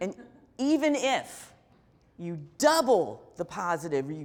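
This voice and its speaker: A woman talks in an animated tone with very wide pitch swings and vocal fry. The recording is very clean, with a silent background. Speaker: keynote speaker, author. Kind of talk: keynote talk.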